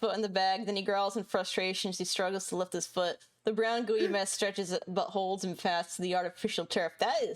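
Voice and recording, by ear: With fairly even intonation, the speaker is reading aloud in a natural voice.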